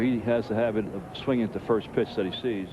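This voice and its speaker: There is noticeable background noise behind this man. He speaks at medium pitch with fairly even intonation. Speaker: baseball color commentator. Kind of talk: baseball color commentary.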